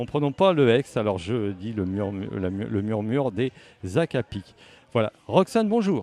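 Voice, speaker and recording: The voice has a dark, mellow tone and lively intonation at a fairly slow pace. The sound is dry and close, with no echo. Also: man, medium pitch for a man. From Le Havre, Normandy, France. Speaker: radio host. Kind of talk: radio interview. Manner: halting.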